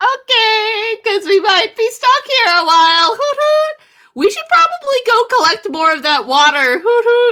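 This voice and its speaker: In a put-on character voice, extremely high and squeaky, the speaker moves at a moderate pace with hardly any pauses. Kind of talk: tabletop roleplay in character. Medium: actual play. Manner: tags sentences with "hoot hoot".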